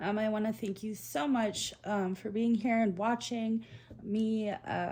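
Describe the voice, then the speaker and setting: A woman speaks with a dark, mellow tone that is somewhat breathy. Her intonation stays fairly even. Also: fairly high pitch for a woman, fairly slow pace. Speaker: tarot reader. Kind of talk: tarot reading. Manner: many filler ums; occasional stutter.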